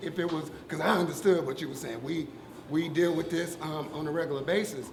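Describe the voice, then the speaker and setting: Loud and at a fairly quick pace, a man talks in a high pitch with ordinary pitch variation, with audible room echo and noticeable background noise. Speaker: audience member. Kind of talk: public discussion.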